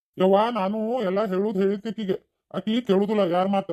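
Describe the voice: A man does a cartoonish character voice, pitched high and delivered at a moderate pace in a flat monotone.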